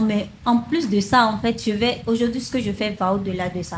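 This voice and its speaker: Over noticeable background noise, a woman speaks at a moderate pace and fairly high pitch with ordinary pitch variation. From Benin. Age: 20s. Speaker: sales funnel consultant and online trainer. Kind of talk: interview.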